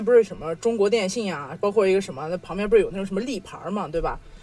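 A woman speaks at a very fast pace with ordinary pitch variation. Music plays in the background. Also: hardly any pauses, big swings in loudness. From Xinjiang, China. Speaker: podcast co-host. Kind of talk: casual chat.

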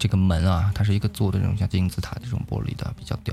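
Talking at a very fast pace, a man has a fairly low, somewhat breathy voice with a dark, mellow tone. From Yunnan, China. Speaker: livestream host. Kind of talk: casual live-stream chat. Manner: animated.

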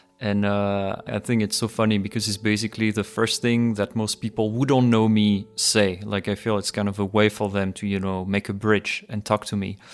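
With a French accent, a man speaks at a moderate pace and a fairly low pitch in a monotone, flat intonation, with hardly any pauses, in a very clean recording with a silent background. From France. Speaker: podcaster and documentary producer. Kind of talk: casual interview chat. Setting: studio.

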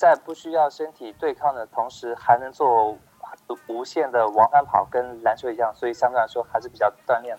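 There is noticeable background noise as a man speaks. His pace is moderate and his intonation fairly even. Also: medium pitch for a man. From Hangzhou, China. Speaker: basketball writer. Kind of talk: casual chat. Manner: halting.

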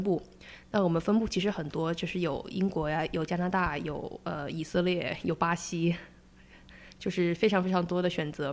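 Recorded very cleanly against a silent background, a woman speaks at a moderate pace. Her pitch is fairly low and varies in an ordinary way. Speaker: product designer. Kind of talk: interview conversation. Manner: halting, many fillers.

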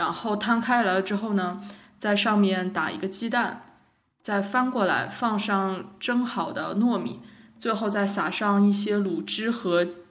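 Speaking at a fairly slow pace, a woman uses medium pitch with ordinary variation. Audible room echo and noticeable background noise surround her voice. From China, Wuhan. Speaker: podcast co-host. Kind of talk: casual chat.

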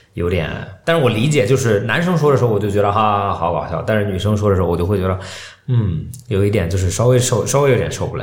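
A man's fairly low voice at a very fast pace, with lively intonation, noticeable background noise and audible room echo. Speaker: podcast co-host. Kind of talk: casual chat. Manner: talkative.

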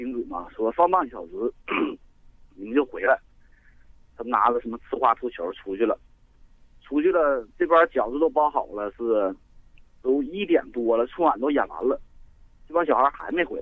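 A man's fairly high voice at a moderate pace, with long, frequent pauses and big swings in loudness. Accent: northeastern Chinese. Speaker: caller. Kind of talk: phone-in storytelling. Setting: phone call.

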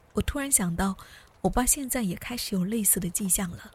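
Her somewhat breathy voice sits at a medium pitch for a woman, moving at a moderate pace with lively intonation. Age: 30s. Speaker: podcast host. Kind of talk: personal essay narration.

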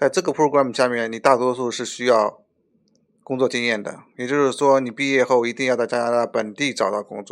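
His pitch is medium for a man. He speaks at a fairly quick pace. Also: fairly even intonation. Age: 30s. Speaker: licensed immigration consultant. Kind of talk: casual interview. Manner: halting.

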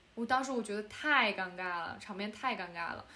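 This woman's fairly high voice has lively intonation. Room echo is audible. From China. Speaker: podcast co-host and film student director. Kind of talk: casual chat. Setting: remote call, late night.

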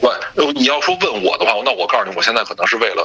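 Noticeable background noise accompanies a man who speaks at a very fast pace. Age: 30s. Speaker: podcast guest, sports and gaming fan. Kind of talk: casual chat.

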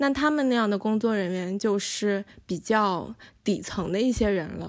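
In a very clean recording with a silent background, a woman with an unremarkable speaking voice talks at a moderate pace, her fairly high pitch showing ordinary variation. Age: 30s. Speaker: filmmaker and university staff. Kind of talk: interview conversation.

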